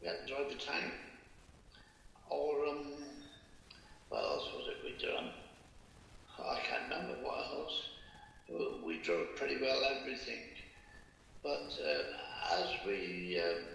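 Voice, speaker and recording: With a West Country accent, a man speaks at a fairly slow pace. Long, frequent pauses break up his speech, and background noise is noticeable. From Bath, England. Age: 80s+. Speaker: war veteran. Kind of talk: interview answer.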